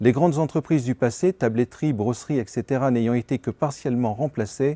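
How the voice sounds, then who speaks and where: A man's dark, mellow tone at medium pitch with ordinary pitch variation and a fairly quick pace, in a very clean recording with a silent background and a dry, close sound with no echo. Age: 60s. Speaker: pharmacist, local bank branch chairman. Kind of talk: prepared self-presentation. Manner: formal.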